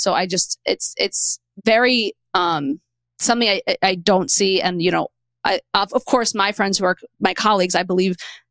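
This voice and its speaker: A woman speaks at a medium pitch with a strong Queens accent and ordinary pitch variation. The sound is dry and close, with no echo. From New York City (Queens). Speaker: podcast host. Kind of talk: interview. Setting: studio.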